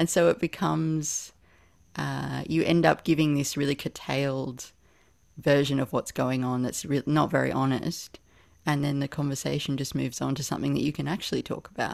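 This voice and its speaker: Moderate-paced speech from a woman, very clean recording, silent background. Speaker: poet and writer. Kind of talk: casual conversation.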